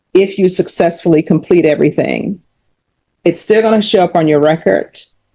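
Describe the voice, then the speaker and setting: Her voice is fairly low for a woman, dark and mellow with vocal fry, moving at a fairly quick pace with fairly even intonation and very even loudness. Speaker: judge. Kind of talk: court hearing. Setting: courtroom. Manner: fast; formal.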